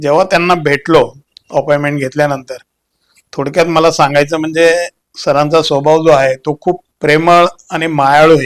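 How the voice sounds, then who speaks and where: The man's fairly high voice stays monotone and flat throughout. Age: 70s. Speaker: retired soldier and police officer, patient. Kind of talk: testimony.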